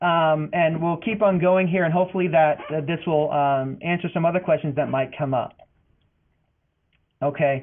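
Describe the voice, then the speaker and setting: In an American accent, a man talks with fairly even intonation and long, frequent pauses. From Boston, US. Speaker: financial aid advisor. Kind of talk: webinar presentation. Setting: online webinar. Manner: fast.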